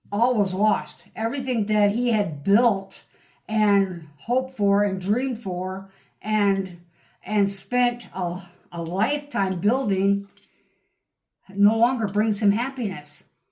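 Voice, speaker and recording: A woman talks at a very slow pace in a medium pitch with ordinary pitch variation. Her voice is somewhat breathy, with a dark, mellow tone. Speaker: tarot reader. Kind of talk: tarot reading. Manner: animated.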